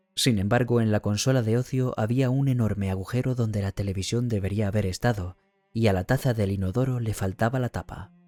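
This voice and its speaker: Over music in the background, a man talks at a fairly quick pace and medium pitch with fairly even intonation, the sound dry and close with no echo. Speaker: audiobook narrator. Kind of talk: audiobook reading.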